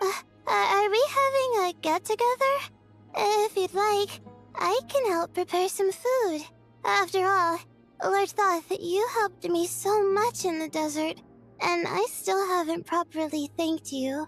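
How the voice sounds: A put-on character voice with ordinary pitch variation and a fairly bright tone. It moves at a fairly slow pace over faint music in the background. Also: woman, extremely high pitch for a woman.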